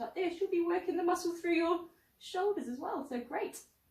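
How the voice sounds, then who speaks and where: With a British accent, a woman speaks. Her pace is moderate. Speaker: pilates instructor. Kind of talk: exercise class instruction.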